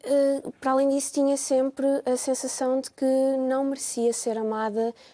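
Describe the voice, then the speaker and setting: This woman's high-pitched voice carries a dark, mellow tone. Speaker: psychologist. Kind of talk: TV testimony. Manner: halting, hesitant.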